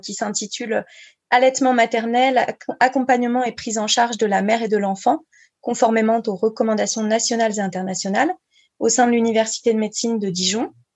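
Fairly even intonation and a fairly quick pace in a plain, everyday voice. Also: woman. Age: 30s. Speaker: breastfeeding counselor and speech therapist. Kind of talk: interview.

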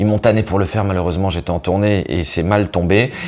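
A man with a fairly low voice speaks while noticeable background noise carries on. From northern France (Nord). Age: 30s. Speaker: comedian. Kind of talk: casual interview.

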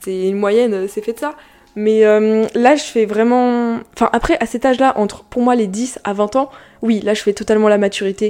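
The voice belongs to a woman and has a dark, mellow tone. Her pitch is fairly high. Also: fairly even intonation. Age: young. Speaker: YouTuber and podcast host. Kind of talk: casual solo podcast talk. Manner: fast.

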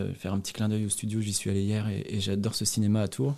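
Set against a very clean recording with a silent background, the voice has a dark, mellow tone and a fairly quick pace. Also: man. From France, Loire Valley (Montbazon area). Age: 30s. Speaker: expatriate. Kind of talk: interview. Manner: hesitant, many fillers.

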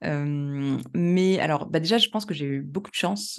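A woman keeps up a moderate pace, her pitch moving in a typical way, with a quiet background. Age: 30s. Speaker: professional coach and statistician. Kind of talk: casual interview chat. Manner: hesitant, many fillers.

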